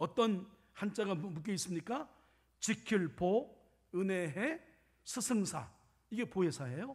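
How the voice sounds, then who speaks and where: A man's high-pitched voice at a very slow pace, with lively intonation and long, frequent pauses. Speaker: pastor. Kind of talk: sermon.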